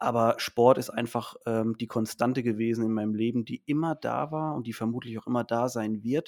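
A man with a normal speaking voice talks at a moderate pace with medium pitch, fairly even intonation and hardly any pauses, in a dry, close sound with no echo on a very clean recording with a silent background. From Mannheim, Germany. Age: 30s. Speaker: teacher and supplement entrepreneur. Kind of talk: podcast interview.

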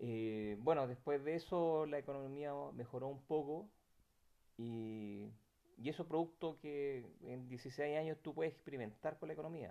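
Speaking with a Chilean accent, a man talks fairly slowly in a fairly high pitch, with a dark, mellow tone and ordinary pitch variation. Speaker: eyewitness interviewee. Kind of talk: personal testimony interview. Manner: halting, many repetitions and fillers.

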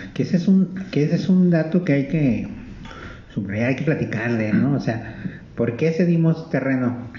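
A man's lively intonation at a fairly slow pace, with noticeable background noise and audible room echo. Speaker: radio host. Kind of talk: casual chat. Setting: live broadcast from a library.

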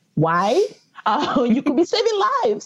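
A woman speaks at a moderate pace, her voice somewhat breathy with a dark, mellow tone. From Nigeria, Lagos. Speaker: paleoanthropologist. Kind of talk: interview.

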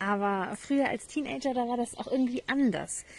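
The woman speaks at a fairly slow pace with ordinary pitch variation. Her voice has a dark, mellow tone and is somewhat breathy. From northern Germany, Hamburg. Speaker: podcast host. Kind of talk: personal monologue. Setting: outdoors in garden.

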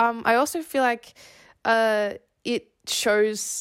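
With an Australian accent, a woman speaks in fairly even intonation on a very clean recording with a silent background. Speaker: podcast co-host. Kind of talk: casual discussion.

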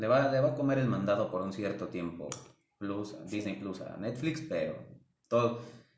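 Lively intonation and big swings in loudness carry this moderately paced voice, with audible room echo. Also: man, medium pitch for a man. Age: 20s. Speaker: retail store employee. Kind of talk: casual chat.

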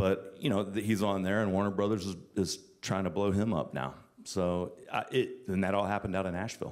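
A man talks at a fairly quick pace with a fairly low pitch. His intonation is fairly even, an ordinary speaking voice. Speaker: music industry executive. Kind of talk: casual interview on stage. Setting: live event with students.

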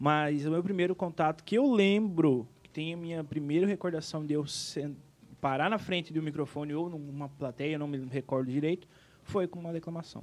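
A man's fairly high voice, an unremarkable speaking voice, moves at a moderate pace, its pitch varying in an ordinary way. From Rio Grande do Sul, Brazil (Planalto). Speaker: singer and events businessman. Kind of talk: casual interview chat.

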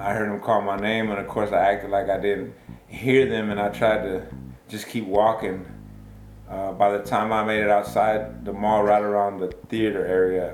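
A fairly low-pitched man with an American accent, moderate in pace and fairly even in intonation, amid noticeable background noise and audible room echo. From Texas, Baytown. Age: 40s. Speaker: wrongful conviction exoneree. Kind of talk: interview testimony.

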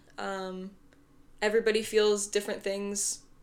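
Her medium pitch held in a monotone, flat intonation, a woman speaks at a moderate pace. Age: 20s. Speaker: correctional officer. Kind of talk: casual chat. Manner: halting.

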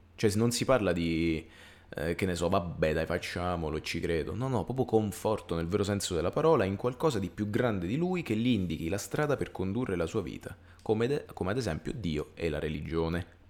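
Lively intonation marks this man's very deep, low voice as he talks at a fairly quick pace. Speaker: podcast co-host. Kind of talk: casual chat. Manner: halting.

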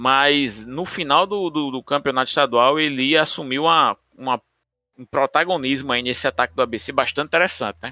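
The sound is dry and close, with no echo, as a man speaks at a moderate pace. His fairly high voice has a bright, sharp tone and ordinary pitch variation. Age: 40s. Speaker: football podcast host. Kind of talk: casual chat.

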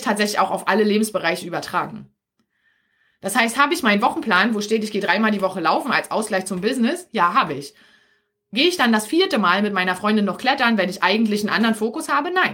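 Talking at a very fast pace, a woman has a bright, sharp tone, a fairly high pitch and lively intonation. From Berlin area, Germany. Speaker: podcast host and business coach for mothers. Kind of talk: live stream coaching talk. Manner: casual with many filler sounds.

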